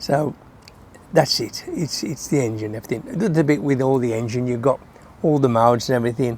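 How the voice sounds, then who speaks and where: At a fairly quick pace, a man with an English accent speaks at a medium pitch with ordinary pitch variation. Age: 70s. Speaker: motorcycle vlogger. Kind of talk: casual talk to camera.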